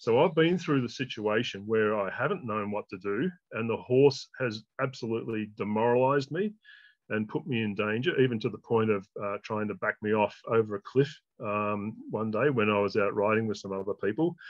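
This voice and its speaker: Here a man talks with an Australian accent at a medium pitch. His pace is moderate and his pitch varies in an ordinary way. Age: 60s. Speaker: horsemanship trainer. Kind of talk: interview.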